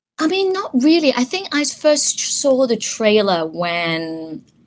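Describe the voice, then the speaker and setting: This is a woman's voice. Her pitch swings very widely. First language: Chinese. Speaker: voice actor. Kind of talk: interview. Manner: halting, many restarts.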